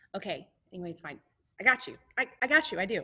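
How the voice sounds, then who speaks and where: Medium-pitched speech from a woman, bright and sharp in tone. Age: 20s. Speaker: high school choir teacher. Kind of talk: classroom talk to students. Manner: casual, chatty.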